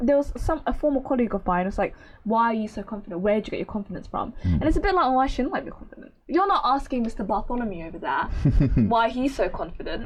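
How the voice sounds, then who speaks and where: Against noticeable background noise, a woman talks very fast at a fairly high pitch, swinging her pitch very widely. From Somalia, raised partly in the Netherlands and London. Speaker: journalist. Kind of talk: podcast interview answer.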